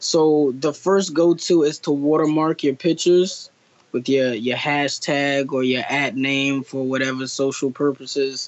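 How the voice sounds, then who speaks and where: In an American accent, a man talks with a plain, everyday voice. His pace is fairly slow, and his pitch variation is ordinary. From New Jersey. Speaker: artist. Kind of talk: interview. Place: home room. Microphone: video call.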